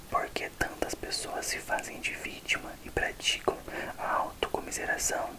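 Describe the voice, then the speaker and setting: A man whispers at a fairly slow pace. Noticeable background noise runs underneath. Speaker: ASMR creator. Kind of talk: ASMR book reading for relaxation. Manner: whispered.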